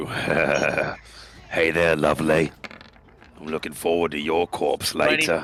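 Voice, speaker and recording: Growling in a put-on character voice, a man speaks at a very deep, low pitch and a fairly slow pace. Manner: snarling; menacing and taunting.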